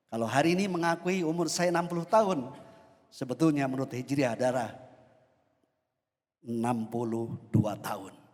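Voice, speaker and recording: A man talks at a fairly quick pace. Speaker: preacher. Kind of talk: sermon. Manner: formal.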